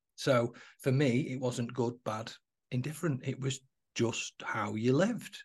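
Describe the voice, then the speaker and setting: A man with a Mancunian accent, medium in pitch, somewhat breathy, fairly slow, with fairly even intonation. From Manchester, England (Moss Side). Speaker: entrepreneur and coach. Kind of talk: podcast interview.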